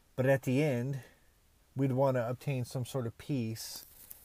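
A man with an unremarkable speaking voice, medium pitch and a fairly slow pace, on a very clean recording with a silent background. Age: 30s. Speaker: podcast host, motivational speaker. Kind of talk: motivational monologue.

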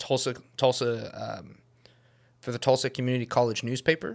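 The speaker here is a man. The pitch of his voice is medium. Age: 20s. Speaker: photographer and videographer. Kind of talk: casual chat.

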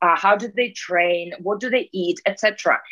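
A woman speaks at a fairly slow pace with ordinary pitch variation and a bright, sharp tone. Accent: Russian. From Russia. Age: 30s. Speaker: peak performance coach. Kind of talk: casual interview.

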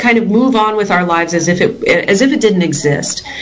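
In an American accent, a woman speaks at a fairly high pitch with very wide pitch swings, and audible room echo is present. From Texas. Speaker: educator and school board candidate. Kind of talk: interview.

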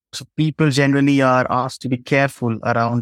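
In a dry, close sound with no echo, a man speaks at a moderate pace in an Indian accent. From Jharkhand, India. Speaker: law lecturer and human rights advocate. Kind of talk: interview.

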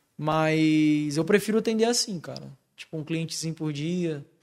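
Recorded very cleanly against a silent background, a man speaks at a moderate pace in a normal speaking voice. His pitch is fairly high, with ordinary variation. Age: 20s. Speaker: tattoo artist. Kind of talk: casual chat.

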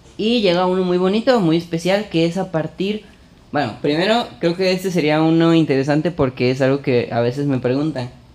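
A high-pitched man at a fairly quick pace, his loudness very even. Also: lively intonation. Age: 20s. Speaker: podcast host. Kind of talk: casual chat. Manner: animated.

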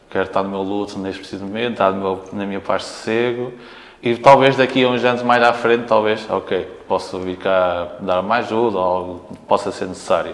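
At a moderate pace, a man speaks in an ordinary speaking voice, fairly low in pitch, with fairly even intonation. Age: 30s. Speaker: retired professional basketball player. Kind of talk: casual interview. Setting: team locker room.

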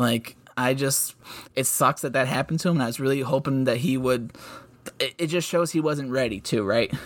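A man with an ordinary speaking voice at a fairly quick pace, medium in pitch, with ordinary pitch variation. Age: 20s. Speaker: hockey podcast co-host. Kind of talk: casual chat.

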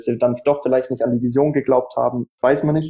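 Speaking in a monotone with flat intonation, a man at medium pitch has a dark, mellow tone. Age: 20s. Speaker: startup founder. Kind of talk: interview.

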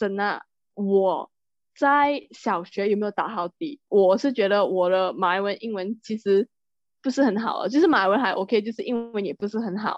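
A woman speaks at a medium pitch with ordinary pitch variation. Her pace is moderate, and she has an ordinary speaking voice. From Malaysia. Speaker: podcast co-host. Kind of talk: casual chat.

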